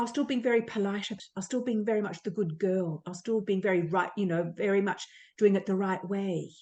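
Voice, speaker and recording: Her voice is medium in pitch, with a dark, mellow tone from this woman. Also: ordinary pitch variation, fairly quick pace. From Australia. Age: 60s. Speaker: psychotherapist. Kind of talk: casual chat.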